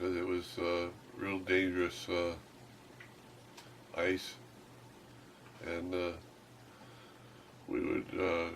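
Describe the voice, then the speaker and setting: A man speaks at a very slow pace with long, frequent pauses, in a very deep, low pitch and monotone, flat intonation. Noticeable background noise and audible room echo surround him. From Alaska. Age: old. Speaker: trapper. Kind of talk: interview. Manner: halting.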